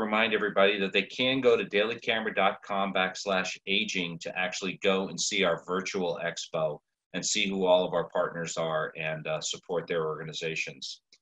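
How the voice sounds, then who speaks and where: A man with a fairly low pitch and a bright, sharp tone speaks at a fairly quick pace against a quiet background. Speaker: webinar moderator. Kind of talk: webinar introduction. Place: home room. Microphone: video call.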